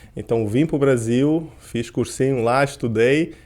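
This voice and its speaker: Intonation here is fairly even. The voice has a dark, mellow tone. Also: man. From Portugal (grew up there, born in Curitiba, Brazil). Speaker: endocrinologist and sports medicine doctor. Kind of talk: podcast interview.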